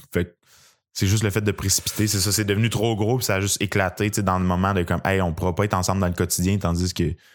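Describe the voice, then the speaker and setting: On a very clean recording with a silent background, a man with a Quebec accent speaks very fast at a fairly low pitch, in a monotone, flat delivery with very even loudness. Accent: Québécois French. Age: 20s. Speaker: stand-up comedian. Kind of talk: casual interview chat.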